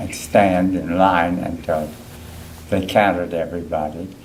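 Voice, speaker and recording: A man with an Appalachian accent talks at a very deep, low pitch. He speaks at a fairly slow pace amid audible room echo. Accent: Appalachian American. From West Virginia, Clarksburg. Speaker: war veteran. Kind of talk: oral history interview.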